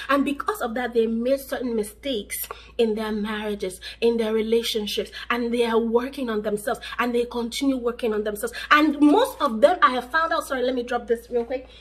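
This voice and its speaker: A woman with an animated tone talks at a moderate pace over noticeable background noise. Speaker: relationship vlogger. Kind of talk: advice vlog to camera.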